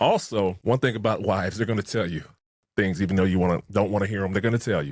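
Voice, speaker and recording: A man speaks at a very fast pace with a fairly low pitch. His intonation stays fairly even. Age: 50s. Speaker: podcast co-host, record collector. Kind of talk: casual chat.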